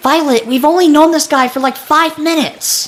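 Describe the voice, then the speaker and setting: A cartoonish character voice with a high pitch speaks at a moderate pace. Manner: dry, weary.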